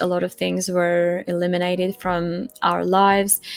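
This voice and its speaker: A woman's medium-pitched voice, monotone and flat, at a fairly slow pace. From Europe, non-English-speaking. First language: not English. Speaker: testimony guest. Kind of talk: personal testimony. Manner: halting, with repetitions.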